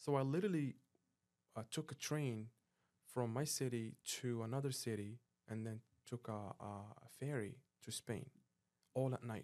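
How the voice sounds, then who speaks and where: A man with a dark, mellow tone and medium pitch speaks with ordinary pitch variation and long, frequent pauses. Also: moderate pace. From Morocco. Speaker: professional jet ski racer. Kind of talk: casual interview.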